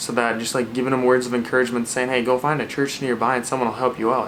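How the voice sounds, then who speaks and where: Over noticeable background noise, a man with a medium pitch and an American accent talks at a very fast pace. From Minnesota. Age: 20s. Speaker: Bible study video host. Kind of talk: casual talk to camera.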